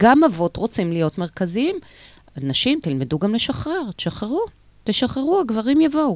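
A woman talks at a moderate pace in a fairly high pitch, with very wide pitch swings. The recording is very clean and the background silent. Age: 50s. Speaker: women's organization chair. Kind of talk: radio interview. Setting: radio studio.

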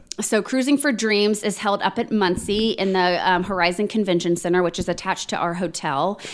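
A woman speaks with a Midwestern American accent. Her pitch variation is ordinary, and she hardly pauses. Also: medium pitch for a woman, fairly quick pace. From Indiana, Plainfield. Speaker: training institute director. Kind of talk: interview.

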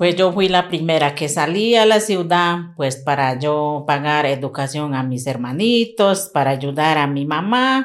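With a very deep, low pitch and lively intonation, a woman speaks at a fairly slow pace with hardly any pauses over a silent background in a very clean recording. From La Chorrera, Amazonas, Colombia. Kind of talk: interview testimony.

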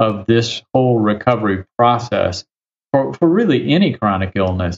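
A man's ordinary speaking voice, medium in pitch, at a moderate pace. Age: 60s. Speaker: physician and author. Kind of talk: interview.

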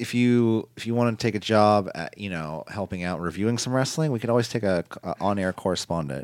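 A man at a fairly low pitch, talking at a fairly quick pace with ordinary pitch variation. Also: very clean recording, silent background. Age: 30s. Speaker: wrestling podcast host. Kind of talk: casual chat. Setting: studio. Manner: halting.

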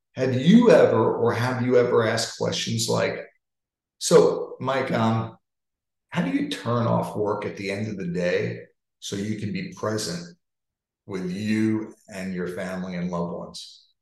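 A man speaks with an American accent at a fairly slow pace. There is audible room echo. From New York. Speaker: sales leadership coach. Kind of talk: interactive webinar talk.

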